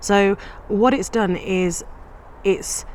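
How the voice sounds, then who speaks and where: A woman speaks in a British accent with ordinary pitch variation. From England, British-born of Punjabi parents. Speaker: psychiatrist and course participant. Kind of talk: testimony.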